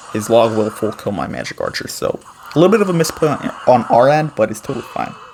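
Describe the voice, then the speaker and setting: Noticeable noise sits behind a man speaking fairly quickly. His pitch varies in an ordinary way. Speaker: gaming YouTuber. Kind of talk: gameplay commentary tutorial. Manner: fast; casual with fillers.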